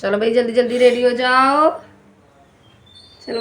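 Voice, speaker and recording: The delivery is very slow. Intonation stays monotone and flat. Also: woman. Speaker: family vlogger. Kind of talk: vlog narration. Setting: at home. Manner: muffled.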